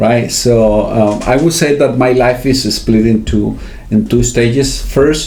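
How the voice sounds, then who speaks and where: A man speaks fairly slowly, with audible room echo and noticeable background noise around him. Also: very even loudness. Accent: Spanish. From Venezuela. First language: Spanish. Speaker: finance academic with a doctorate. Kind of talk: interview. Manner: halting, many fillers.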